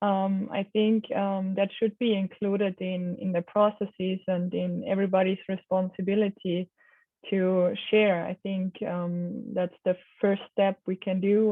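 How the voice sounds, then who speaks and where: A woman speaks with a non-native accent at a fairly slow pace. Her medium-pitched voice has monotone, flat intonation. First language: not English. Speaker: knowledge management program manager. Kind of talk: interview. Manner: hesitant, many fillers.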